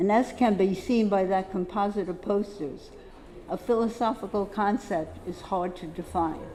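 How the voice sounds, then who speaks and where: With an American accent, a woman with an unremarkable speaking voice talks at a moderate pace and medium pitch, her intonation fairly even. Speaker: poster dealer, lecturer. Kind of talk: symposium lecture. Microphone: echo on the microphone.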